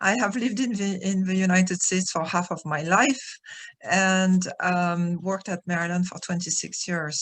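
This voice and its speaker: A woman with a French accent speaks at a moderate pace in a somewhat breathy voice with fairly even intonation. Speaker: retired professor, architectural historian. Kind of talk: webinar presentation. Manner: hesitant, many fillers.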